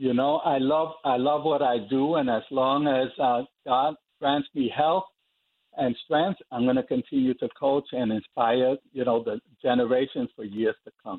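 A man speaks in a plain, everyday voice at medium pitch. His intonation is fairly even and his pace fairly slow. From New York (South Bronx). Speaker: athletics coach. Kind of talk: interview. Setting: phone call.

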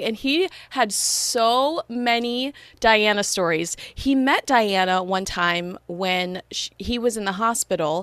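A woman with an American accent speaks in a plain, everyday voice. Her pitch is fairly high and her intonation lively. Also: dry, close sound with no echo. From Los Angeles, US. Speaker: podcast host. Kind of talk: casual interview chat.

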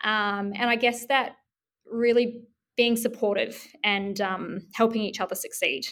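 With a New Zealand accent, the speaker talks at a fairly slow pace with fairly even intonation. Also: woman, fairly high pitch for a woman, very clean recording, silent background. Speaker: business community manager. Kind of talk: interview.

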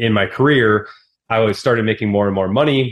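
Speaking with an American accent, a man has a fairly low pitch. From Wisconsin, US Midwest. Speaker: real estate investor and entrepreneur. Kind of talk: podcast interview. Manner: animated.

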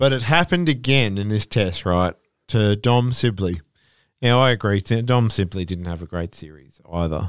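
A man's fairly low voice in an Australian accent, lively in intonation and moderate in pace, with a dry, close sound, no echo, and a very clean recording with a silent background. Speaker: cricket podcast co-host. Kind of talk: casual chat.

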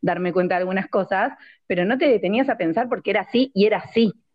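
A woman with an Argentine accent speaks at a medium pitch with lively intonation. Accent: Rioplatense Argentine Spanish. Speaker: podcast co-host. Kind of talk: casual chat. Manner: loud.

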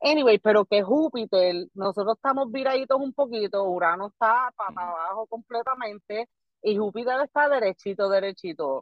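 With a normal speaking voice, a woman speaks at a moderate pace with hardly any pauses, using lively intonation at a fairly high pitch. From Puerto Rico, Barranquitas. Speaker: comedian. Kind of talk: casual chat.

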